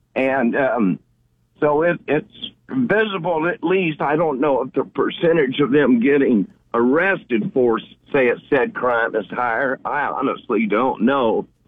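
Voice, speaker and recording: A man's plain, everyday voice, fairly high in pitch, with lively intonation and a fairly slow pace. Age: 60s. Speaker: caller. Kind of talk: call-in commentary. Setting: phone call.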